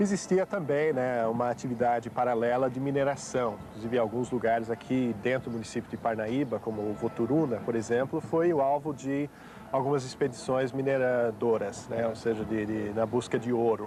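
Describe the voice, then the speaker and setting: A man with a slight non-native accent speaks at a medium pitch and a moderate pace. He uses ordinary pitch variation and hardly any pauses. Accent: slight English-speaking accent in Portuguese. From United States. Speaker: historian. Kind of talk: TV interview. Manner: hesitant, many fillers.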